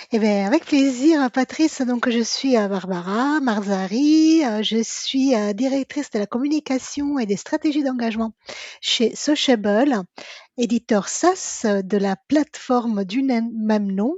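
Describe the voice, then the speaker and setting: High in pitch and sing-song, a woman speaks at a very slow pace. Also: ordinary pitch variation. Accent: Italian. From Italy. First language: Italian (speaking French). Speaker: communications director. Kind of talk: interview podcast. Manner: sing-song intonation.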